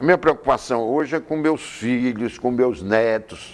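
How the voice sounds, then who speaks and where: A man speaks at a very slow pace in a medium pitch, with ordinary pitch variation. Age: 70s. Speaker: politician. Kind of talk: TV interview. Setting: TV studio.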